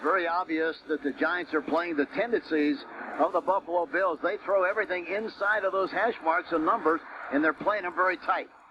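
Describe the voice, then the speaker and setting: A man talks at a fairly quick pace in a high voice with ordinary pitch variation. There is noticeable background noise. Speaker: radio color commentator analyst. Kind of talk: live sports radio color commentary.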